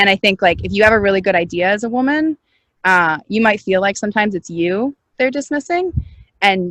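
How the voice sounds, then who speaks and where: A woman speaks at a fairly quick pace in an animated tone. Her pitch variation is ordinary. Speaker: startup founder and CEO. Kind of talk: interview. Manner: loud.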